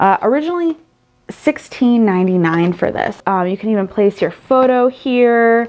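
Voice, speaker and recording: Lively intonation fills her speech. The speaker is a woman. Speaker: haul vlogger. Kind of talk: casual vlog chat. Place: home room. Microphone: phone near.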